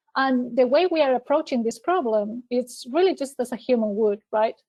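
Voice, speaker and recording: A woman with a non-native accent speaks at a high pitch with ordinary pitch variation. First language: not English. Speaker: cloud technology specialist. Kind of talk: webinar presentation. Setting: online webinar. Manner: hesitant with fillers and repeated words.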